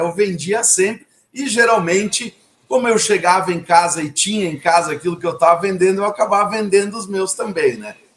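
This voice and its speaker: A man talks with ordinary pitch variation. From southern Brazil, Caxias do Sul. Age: 50s. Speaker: entrepreneur. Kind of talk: interview. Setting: live video call. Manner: halting, repeats words.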